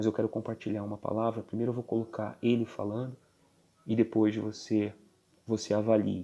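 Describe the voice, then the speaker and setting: Speaking quietly at a moderate pace, a man uses a fairly low pitch and a dark, mellow tone with monotone, flat intonation. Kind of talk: religious commentary. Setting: at home.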